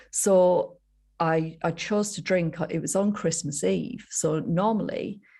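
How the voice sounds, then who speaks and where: A woman with a Yorkshire accent speaks in a dark, mellow tone with ordinary pitch variation, in a very clean recording with a silent background. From northern England, Yorkshire. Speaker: sobriety coach. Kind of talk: interview storytelling. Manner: animated.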